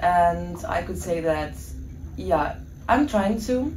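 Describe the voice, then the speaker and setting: A woman is heard speaking. The recording has audible room echo and noticeable background noise. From Ukraine. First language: Russian. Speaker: student. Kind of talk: podcast interview.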